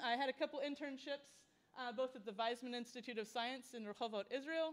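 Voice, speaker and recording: A woman with a high voice speaks at a fairly quick pace over noticeable background noise. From US Midwest, rural Indiana. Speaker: researcher and astronaut candidate. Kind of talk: public talk.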